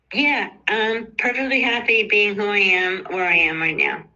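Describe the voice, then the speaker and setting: The speaker goes at a fairly slow pace, with audible room echo. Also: woman. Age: 70s. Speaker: caregiver. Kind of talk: testimony. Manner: halting.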